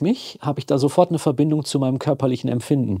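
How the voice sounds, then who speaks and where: A man's fairly high, dark, mellow, somewhat breathy voice at a very fast pace, with ordinary pitch variation and a dry, close sound with no echo. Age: 50s. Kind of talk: casual chat.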